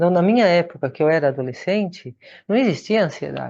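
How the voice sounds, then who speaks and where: This woman has a very deep, low pitch and a dark, mellow tone. Her pitch varies in an ordinary way. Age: 60s. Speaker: Buddhist nun and meditation teacher. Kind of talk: lecture.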